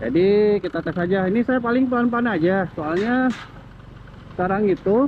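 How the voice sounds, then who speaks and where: A loud man with a high pitch talks at a moderate pace with ordinary pitch variation against noticeable background noise. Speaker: motovlogger. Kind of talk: casual vlog narration while riding. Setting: riding a motorcycle outdoors. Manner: speaking somewhat loud.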